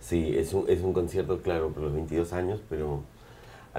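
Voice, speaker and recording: Somewhat breathy and dark, mellow in tone, a man speaks at a moderate pace with a very deep, low pitch and fairly even intonation. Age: 40s. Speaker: punk band singer. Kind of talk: casual interview.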